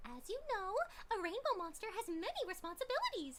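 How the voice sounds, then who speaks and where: A put-on character voice, female-sounding and bubbly in tone, at a moderate pace over loud background noise. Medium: game stream. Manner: bubbly, giggly, sing-song.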